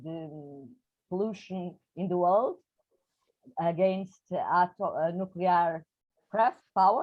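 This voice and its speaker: Very slowly, a woman talks at a medium pitch with fairly even intonation. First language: Portuguese. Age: 60s. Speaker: poet. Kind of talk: interview. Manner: halting.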